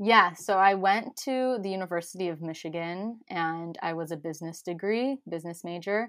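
A woman speaks in a normal speaking voice with an American accent, at a moderate pace with hardly any pauses. Her pitch is fairly low, with ordinary variation. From US Midwest, Chicago. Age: 20s. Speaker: holistic nutritionist. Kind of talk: casual interview. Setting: remote, sitting in a closet.

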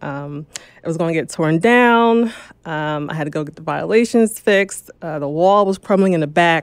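Speaking with an American accent, a woman with fairly low pitch and an unremarkable speaking voice uses lively intonation at a moderate pace, with big swings in loudness. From New Jersey. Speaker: real estate investor. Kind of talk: interview.

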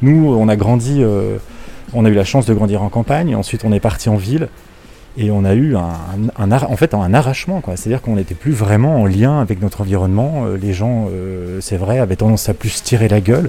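With noticeable background noise behind him, a fairly low-pitched man speaks fairly quickly, his pitch varying in an ordinary way. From Switzerland, Lausanne area. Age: 30s. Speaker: bookshop customer on holiday. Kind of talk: casual interview. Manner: halting, with repetitions and fillers.

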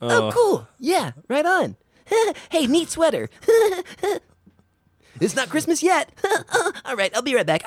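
High-pitched, put-on character voice at a fairly slow pace. Long pauses come often. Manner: fake-friendly, grating.

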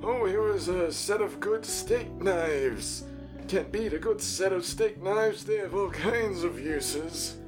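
Someone speaks at a fairly slow pace over loud music in the background. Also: man. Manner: earnest, simple.

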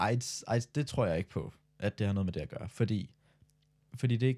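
A man's somewhat breathy, dark, mellow tone at medium pitch, fairly quick in pace, with ordinary pitch variation and a dry, close sound with no echo. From Denmark. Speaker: podcast co-host, student. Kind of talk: casual chat.

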